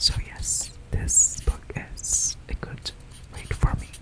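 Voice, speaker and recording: There is noticeable background noise. The speaker is whispering. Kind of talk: ASMR whisper session about books. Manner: whispered, soft.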